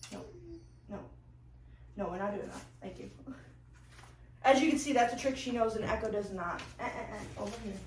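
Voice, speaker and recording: A woman at a fairly quick pace, with long, frequent pauses, big swings in loudness, audible room echo and noticeable background noise. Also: fairly high pitch for a woman, ordinary pitch variation. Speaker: dog trainer vlogger. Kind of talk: tutorial; reading aloud. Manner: halting; high-pitched training voice with the dog.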